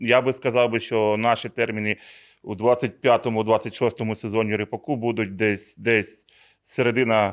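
An ordinary speaking voice with fairly even intonation, on a very clean recording with a silent background. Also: man. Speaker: regional seed product manager. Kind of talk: conversational agronomy talk show. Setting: studio.

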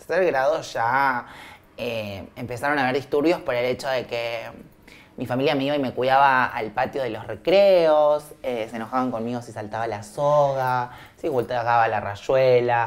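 Her voice is very deep and low for a woman, with ordinary pitch variation, and she speaks at a fairly slow pace. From Argentina, Viedma (Río Negro, Patagonia). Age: 20s. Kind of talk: documentary interview testimony.

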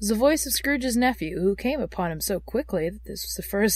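Natural-voiced reading aloud, full of lively intonation

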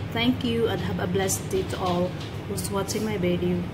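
Loud background noise surrounds a woman's voice. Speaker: home cook vlogger. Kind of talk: tutorial. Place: kitchen.

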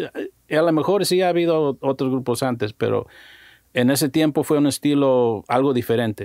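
Over a quiet background, a man with an unremarkable speaking voice talks at a fairly high pitch and moderate pace, with ordinary pitch variation, very even loudness and a dry sound with no echo. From Mexico-born, raised in the US. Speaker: musician and music producer; guest. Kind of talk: casual interview chat. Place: studio. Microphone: studio mic.

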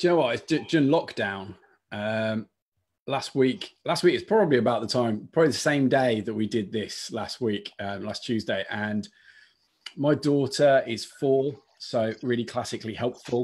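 A man with a Lancashire accent at a moderate pace, with ordinary pitch variation and a quiet background. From northern England. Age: 30s. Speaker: diocesan youth adviser. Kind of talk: casual chat. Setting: video call. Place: home room. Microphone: video call.

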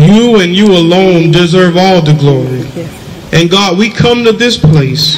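A man with a high pitch speaks at a fairly slow pace with hardly any pauses and ordinary pitch variation, light background noise behind him. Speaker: church prayer leader. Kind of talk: fervent prayer. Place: street. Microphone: handheld.

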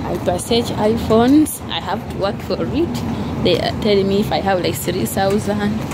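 The speaker is a woman, talking fairly slowly. Heavy noise fills the background. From Uganda. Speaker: vlogger and housemaid; vlogger. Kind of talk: casual vlog monologue. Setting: outdoors walking in the street. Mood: happy, grateful. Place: street. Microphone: phone near.

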